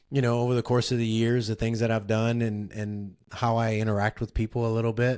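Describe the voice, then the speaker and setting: A man talks at a very fast pace with a medium pitch. The recording is very clean, with a silent background. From South Louisiana. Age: 50s. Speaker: ultrarunner and running coach. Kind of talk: podcast interview. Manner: halting, many fillers.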